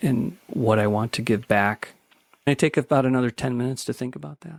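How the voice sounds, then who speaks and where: With an American accent, a man talks with ordinary pitch variation in a dry, close recording with no echo. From US Midwest, Chicago south suburbs. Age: 50s. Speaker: death cafe facilitator. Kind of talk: podcast interview. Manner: halting, with many repeated words.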